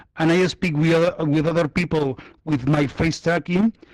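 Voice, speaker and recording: In a Spanish accent, the speaker keeps a fairly even intonation. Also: man. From Spain. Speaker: virtual reality user. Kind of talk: casual group chat. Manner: halting.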